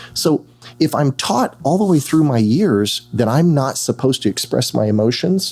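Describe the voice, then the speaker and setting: A man speaks in a plain, everyday voice at a moderate pace, his pitch fairly high and his intonation lively, with very even loudness throughout. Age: 60s. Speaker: therapist. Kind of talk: casual chat.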